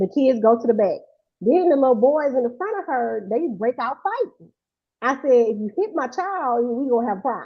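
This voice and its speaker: The voice is loud and animated in tone, with lively intonation. It moves at a moderate pace. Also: woman, high pitch for a woman. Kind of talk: casual chat. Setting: live stream.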